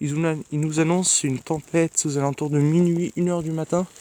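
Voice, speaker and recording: A soft-spoken man talks at a moderate pace in a monotone, flat intonation. The sound is dry and close, with no echo. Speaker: amateur weather vlogger. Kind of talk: casual weather vlog. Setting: outdoors at night in snow. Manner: hesitant.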